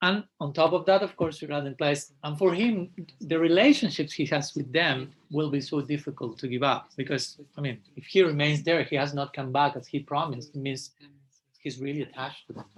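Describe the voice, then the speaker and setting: The speaker is a man with a fairly high, somewhat breathy voice. He talks at a fairly quick pace with ordinary pitch variation. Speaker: monk and spiritual teacher. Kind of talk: lecture. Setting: live class, also streamed online. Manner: fast; halting.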